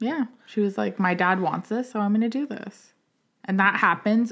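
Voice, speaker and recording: An ordinary speaking voice from a woman at medium pitch, with ordinary pitch variation and a moderate pace. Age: 30s. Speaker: podcast co-host. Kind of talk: casual chat.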